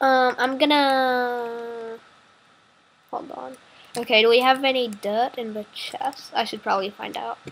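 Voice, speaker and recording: A woman speaks at a high pitch and a fairly slow pace. Her loudness swings widely. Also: ordinary pitch variation. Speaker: gaming video creator. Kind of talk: casual gameplay commentary. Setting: online voice call. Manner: hesitant, many fillers.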